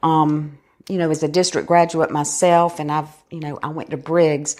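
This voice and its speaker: A woman with a South Carolina accent talks at a moderate pace in a very deep, low pitch and monotone, flat intonation. The recording is very clean, with a silent background. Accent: South Carolina Southern. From US South, Florence, South Carolina. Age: 60s. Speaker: school foundation director. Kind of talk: interview conversation.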